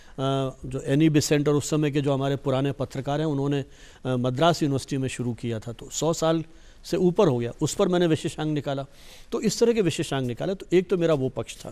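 This man's voice sits fairly high in pitch, with a dark, mellow tone. He speaks at a moderate pace. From Rajasthan, India (Jaipur). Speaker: retired journalism professor. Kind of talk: TV interview. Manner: formal. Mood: reflective, storytelling about own life. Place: studio.

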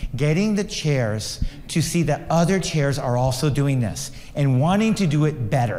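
Using lively intonation at a moderate pace, a man with a fairly high pitch and a dark, mellow tone keeps his loudness very even. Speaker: chemistry researcher. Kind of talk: conference talk. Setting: conference session with audience.

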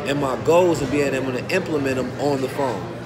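Loud background noise runs through the clip. Over it, a man talks at a fairly quick pace. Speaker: motivational vlogger. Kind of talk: casual vlog chat. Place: market. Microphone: phone near.

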